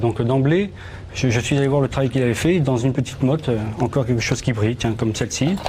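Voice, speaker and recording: Spoken very fast in a southern French accent, with ordinary pitch variation. Noticeable background noise runs underneath. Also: man. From southern France, Toulouse. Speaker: metal detectorist and magazine editor. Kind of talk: TV studio interview. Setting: TV studio. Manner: halting, repeats words.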